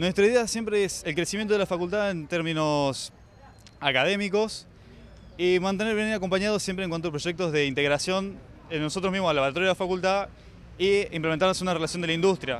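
Against light background noise, a man with a high pitch talks at a very fast pace in a dry sound with no echo. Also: ordinary pitch variation. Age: 20s. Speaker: engineering student, student union candidate; candidate. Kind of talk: campaign pitch. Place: street. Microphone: handheld.

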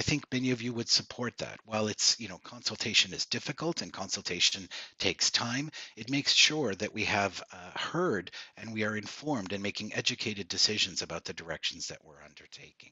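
Speaking at a fairly quick pace, a man has a fairly low pitch, a bright, sharp tone with a slightly husky edge, and lively intonation.

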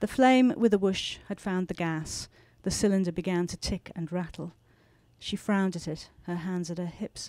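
With a British accent, a woman speaks in a calm, dark, mellow tone at a moderate pace and ordinary pitch variation, the sound dry with no echo against a quiet background. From England. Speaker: novelist. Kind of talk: author talk and reading aloud from her novel. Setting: bookstore stage with audience and microphone. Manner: measured, expressive storyteller reading with calm pacing. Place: shop. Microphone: handheld.

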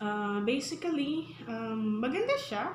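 There is light background noise and audible room echo as a woman speaks at a very slow pace with lively intonation. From Philippines. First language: Tagalog. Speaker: public school teacher and vlogger; teacher. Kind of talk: casual vlog mixing English and Tagalog. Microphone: phone near.

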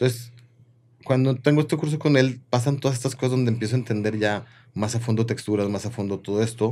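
A man of medium pitch talks very fast with fairly even intonation. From Mexico, Comarca Lagunera (Torreón); Mexico. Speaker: chef and restaurant owner; guest. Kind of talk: casual chat. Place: studio. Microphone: studio mic.

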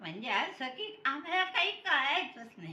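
A woman speaks in a raised, projected voice at a high pitch. Her pitch swings very widely. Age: 80s+. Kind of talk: interview answer. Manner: chatty, teasing.

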